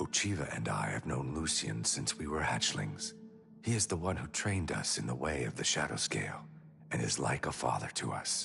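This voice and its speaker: A man's put-on character voice in a solemn tone, at a moderate pace, over clear music in the background. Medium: video game. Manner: measured, solemn.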